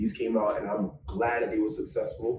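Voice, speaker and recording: A man with a New York accent at a very fast pace. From New York, Bronx. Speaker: fashion designer. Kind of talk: casual chat. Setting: studio. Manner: animated.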